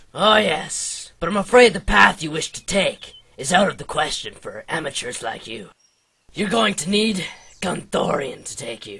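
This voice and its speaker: Put-on character voice from a man, pitched high and delivered at a moderate pace. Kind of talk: comic overacting. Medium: machinima. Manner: grandiose, melodramatic.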